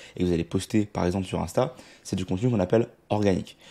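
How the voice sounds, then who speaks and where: Speaking at a very fast pace, a man with a fairly low pitch and a dark, mellow tone keeps his intonation fairly even on a very clean recording with a silent background. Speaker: online marketing coach. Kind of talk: tutorial.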